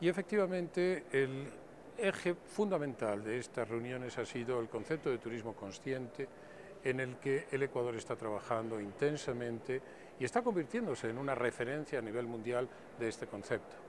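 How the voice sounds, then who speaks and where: A man with a Spanish accent speaks at a moderate pace and medium pitch, his intonation lively. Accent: Spanish (Spain). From Spain. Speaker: tourism official. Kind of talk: interview. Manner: formal.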